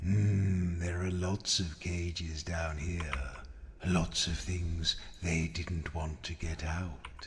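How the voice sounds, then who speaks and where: Putting on a character voice, a man speaks at a very slow pace with a very deep, low pitch, clear background noise audible behind him. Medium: video game. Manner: patient, measured.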